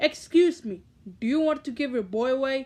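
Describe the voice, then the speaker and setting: A woman puts on a loud character voice at a high pitch, speaking at a moderate pace. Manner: loud but very polite.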